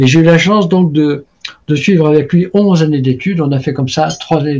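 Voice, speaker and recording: A man with a dark, mellow tone and a fairly high pitch sounds somewhat breathy, keeping fairly even intonation at a moderate pace. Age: 70s. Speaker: traditional Chinese medicine practitioner and author. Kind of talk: interview conversation. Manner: hesitant, many fillers and repetitions.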